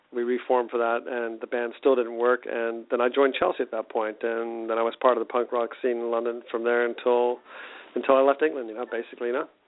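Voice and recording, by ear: A man speaks at a fairly quick pace in a medium pitch, with little pitch movement.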